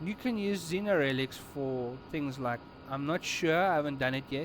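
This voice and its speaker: A man with a South African accent speaks fairly slowly at a fairly high pitch. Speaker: gaming streamer. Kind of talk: gameplay tutorial. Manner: casual, conversational.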